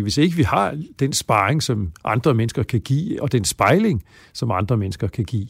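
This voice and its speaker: A man speaks at a moderate pace in a medium pitch, his somewhat breathy voice carrying lively intonation on a very clean recording with a silent background. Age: 60s. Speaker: psychology professor. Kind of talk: interview.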